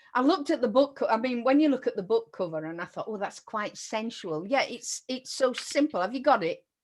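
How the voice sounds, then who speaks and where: A woman with a Yorkshire accent talks at a fairly quick pace in a high pitch, her intonation lively and hardly any pauses between words. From Yorkshire, northern England. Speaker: interview host, writing mentor. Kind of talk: casual interview chat.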